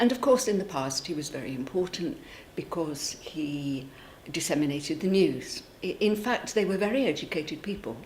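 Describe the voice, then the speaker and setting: Her pitch is fairly low for a woman and swings very widely as she speaks at a moderate pace. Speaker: local official or campaigner for a town crier. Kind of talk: interview answer.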